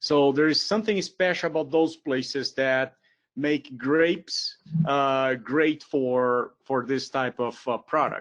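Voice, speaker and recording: With a Brazilian accent, a man speaks at a very slow pace with a fairly high pitch, ordinary pitch variation and very even loudness against a quiet background. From southern Brazil, Porto Alegre. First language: Portuguese. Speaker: professor. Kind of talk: lecture. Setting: webinar.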